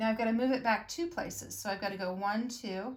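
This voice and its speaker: A woman speaks in a somewhat breathy voice. Her pitch is fairly high, with ordinary variation. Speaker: elementary school teacher. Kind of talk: video lesson for pupils. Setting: recorded video lesson.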